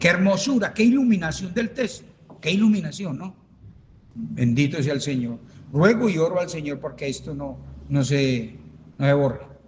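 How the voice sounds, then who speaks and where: An animated tone with very wide pitch swings comes at a moderate pace, broken by long, frequent pauses. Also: man, fairly high pitch for a man. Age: 70s. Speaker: pastor. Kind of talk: Bible study teaching.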